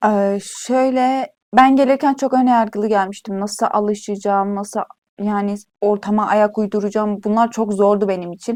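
A woman with an unremarkable speaking voice speaks at a moderate pace, her fairly high pitch held in fairly even intonation. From Turkey, Iğdır. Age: 20s. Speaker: university student. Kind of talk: casual interview.

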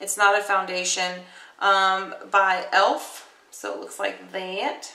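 At a very slow pace, a woman speaks in a room with audible echo and light background noise. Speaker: beauty vlogger. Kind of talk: casual makeup tutorial. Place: home room. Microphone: webcam.

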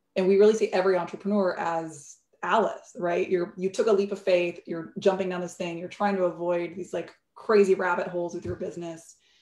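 Amid audible room echo, a woman speaks at a fairly quick pace with monotone, flat intonation and big swings in loudness. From Bolivia. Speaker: entrepreneur and startup CEO; guest. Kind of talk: interview on a virtual fireside chat. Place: home room. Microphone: video call.

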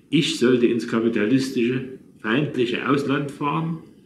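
A man talks at a moderate pace with ordinary pitch variation, with audible room echo and light background noise. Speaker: storyteller recalling his past. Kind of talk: reading personal memoir. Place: home room. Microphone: phone near.

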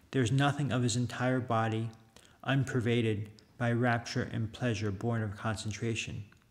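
At a moderate pace, a man talks at a medium pitch in a plain, everyday voice. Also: fairly even intonation. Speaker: Buddhist monk. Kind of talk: reading aloud. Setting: monastery.

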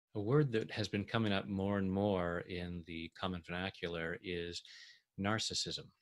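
A man speaks in a very deep, low voice. His intonation stays fairly even. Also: quiet background. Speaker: tapping coach. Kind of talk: guided self-help tutorial. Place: home room. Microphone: webcam.

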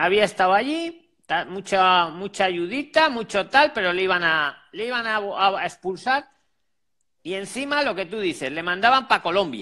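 Against a quiet background, a man projects a raised, bright, sharp voice in a high pitch, swinging very widely in pitch at a moderate pace. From Spain. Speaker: job advice channel host; channel host interviewing a guest. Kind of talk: live call-in consultation. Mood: reassuring, empathetic. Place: home room. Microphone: earbuds.

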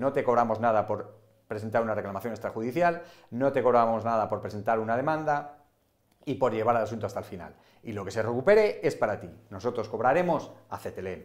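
With lively intonation and a fairly low pitch, a man talks at a fast pace.

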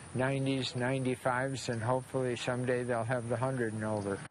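A man talks at a fairly quick pace with monotone, flat intonation. The sound is dry with no echo, with light background noise. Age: 80s+. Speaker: tennis player and coach. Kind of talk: interview answer. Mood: warm, proud, smiling. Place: open country. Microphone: lapel.

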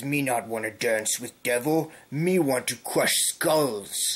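Putting on a character voice, a man talks at a fairly slow pace in a medium pitch. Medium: solo performance. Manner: blunt, broken speech, threatening.

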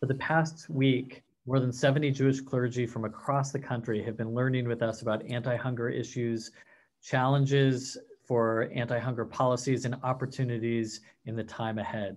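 The man's intonation is flat and monotone. He speaks at a moderate pace and medium pitch. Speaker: nonprofit policy executive. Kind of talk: formal introduction. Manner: formal. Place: home room. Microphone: webcam.

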